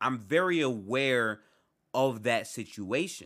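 In a very clean recording with a silent background, a man speaks at medium pitch with lively intonation and a bright, sharp tone. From Detroit, US. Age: 20s. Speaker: podcast host. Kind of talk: solo podcast monologue. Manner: casual, halting.

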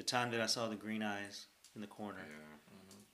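At a moderate pace, the speech carries a bright, sharp tone. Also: man. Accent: Texan. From Texas. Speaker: podcast co-host. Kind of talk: casual chat. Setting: outdoors.

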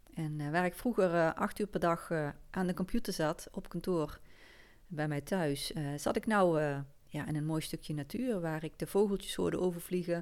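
A woman with a Limburg accent speaks at a moderate pace and a fairly low pitch. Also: ordinary pitch variation, very clean recording, silent background. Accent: Limburg Dutch, soft G. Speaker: podcast host. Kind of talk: personal story monologue. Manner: hesitant, many fillers.

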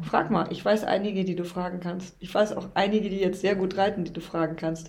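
Against noticeable background noise, a woman talks fairly quickly at a medium pitch with fairly even intonation. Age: 50s. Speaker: riding instructor and mother of host. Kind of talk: casual chat.

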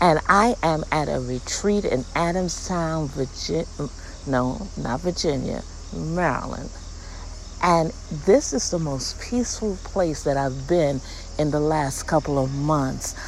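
The voice moves at a fairly slow pace with ordinary pitch variation. Audible room echo and noticeable background noise fill the recording. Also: woman, very deep, low pitch for a woman. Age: 60s. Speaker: podcast host, inspirational speaker. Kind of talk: inspirational monologue, casual religious devotional. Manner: animated.

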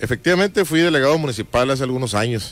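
A man at a very fast pace, medium in pitch, over noticeable background noise. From Mexico, Baja California Sur (Todos Santos). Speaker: political candidate. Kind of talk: radio interview. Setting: radio studio.

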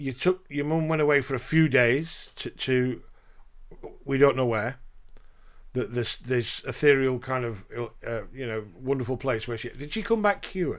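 In a very clean recording with a silent background, a man talks with a Yorkshire accent. He leaves long, frequent pauses. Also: medium pitch for a man, ordinary pitch variation, moderate pace. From Yorkshire, England. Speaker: podcast host, spouse and carer. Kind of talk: casual conversation.

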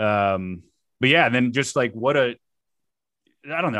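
Speaking in a plain, everyday voice, a man with an American accent keeps a moderate pace and a medium pitch. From South Florida. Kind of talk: casual chat. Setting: video call.

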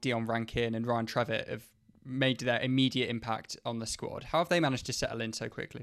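With an ordinary speaking voice, a man talks at a fairly quick pace and a medium pitch with ordinary pitch variation. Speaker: podcast host. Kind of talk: scripted intro then interview.

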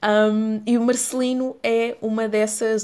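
A woman with a European Portuguese accent speaks at a medium pitch with fairly even intonation. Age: 20s. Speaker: podcast host. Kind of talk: solo podcast monologue.

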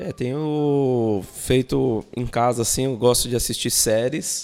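A man's medium-pitched voice at a very slow pace. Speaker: podcast guest, student and customer service professional. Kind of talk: casual chat.

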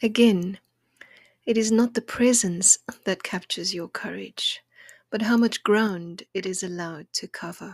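A woman speaks at a fairly slow pace and medium pitch in a warm, soothing, somewhat breathy tone with fairly even intonation, in a very clean, dry, close recording with a silent background and no echo. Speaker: poet and podcast host. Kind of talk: poetry reading, intimate and contemplative; gentle encouraging talk. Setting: home kitchen table. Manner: slow, hushed, tender and lyrical; warm, soothing, measured.

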